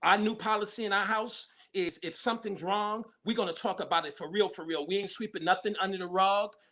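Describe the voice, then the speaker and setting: A man's raised, projected voice, high in pitch, with a bright, sharp tone, a fairly quick pace and fairly even intonation. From New York, Brooklyn. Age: 50s. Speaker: pastor and community activist. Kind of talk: casual chat.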